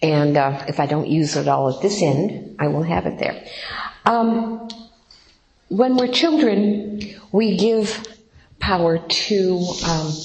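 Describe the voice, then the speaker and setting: Amid noticeable background noise and audible room echo, a woman speaks very slowly at medium pitch with lively intonation and long, frequent pauses. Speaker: workshop leader at recovery program. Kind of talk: workshop talk. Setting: room with audience. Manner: halting.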